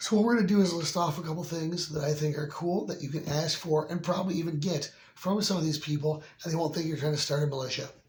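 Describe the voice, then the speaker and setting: Speaking at a very fast pace with an American accent, a man with a fairly high pitch keeps his intonation fairly even amid noticeable background noise and audible room echo. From Michigan, US. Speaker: firearms video host. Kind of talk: casual product recommendation video.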